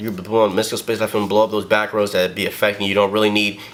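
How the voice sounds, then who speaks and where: Noticeable background noise is present. A man speaks very fast. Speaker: card game deck showcaser. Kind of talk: casual tutorial. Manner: animated.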